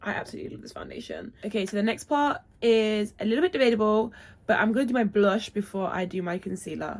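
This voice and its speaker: Speaking at a very fast pace, a woman talks in a British accent. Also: fairly high pitch for a woman, ordinary pitch variation. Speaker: beauty vlogger. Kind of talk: makeup tutorial. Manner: chatty.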